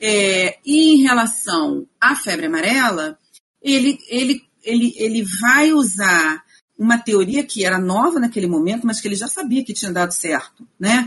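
Speaking in a normal speaking voice, a woman with a fairly high pitch talks at a fairly slow pace with lively intonation. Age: 50s. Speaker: historian and researcher. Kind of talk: interview, explaining history.

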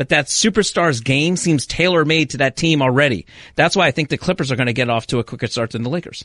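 A man speaks at a very fast pace in a fairly high voice with ordinary pitch variation, the sound dry and close with no echo against a quiet background. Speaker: sports journalist. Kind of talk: casual chat. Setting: studio. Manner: joking.

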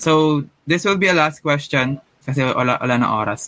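This is a normal speaking voice from a man, pitched fairly high. He talks at a moderate pace. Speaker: podcast host. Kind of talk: casual chat.

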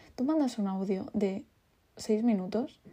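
A woman speaks at a fairly high pitch with a somewhat breathy delivery. Her tone is dark and mellow, and the background is quiet. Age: 20s. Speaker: podcast host, teacher. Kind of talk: casual monologue.

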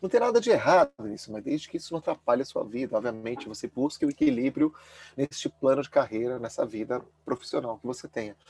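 A very fast male voice with big swings in loudness, in a dry, close sound with no echo. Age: 40s. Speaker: former finance professional turned minimalist lifestyle advocate. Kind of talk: casual interview chat. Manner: halting, many fillers and repetitions.

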